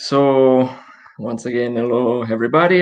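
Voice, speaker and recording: A man speaks with an Italian accent. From Italy. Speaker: social enterprise director. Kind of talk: live online interview. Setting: video call from home.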